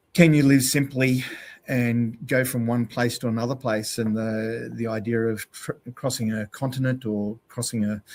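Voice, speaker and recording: The speaker has an Australian accent and talks at a fairly slow pace in a monotone, flat intonation. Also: man. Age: 60s. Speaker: endurance cyclist and outdoor educator. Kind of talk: podcast interview. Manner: hesitant, many fillers.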